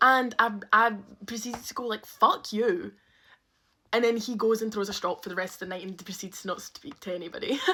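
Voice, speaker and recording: Bright and sharp in tone, a woman with a Scottish accent speaks fairly quickly at a fairly high pitch, with ordinary pitch variation and big swings in loudness. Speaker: storyteller. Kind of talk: storytime monologue. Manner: animated.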